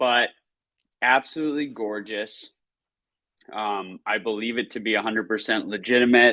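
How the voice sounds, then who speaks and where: A man with a medium pitch and a bright, sharp tone speaks loudly with fairly even intonation and long, frequent pauses. The recording is very clean with a silent background. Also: moderate pace. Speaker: podcast co-host. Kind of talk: casual chat. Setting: live stream.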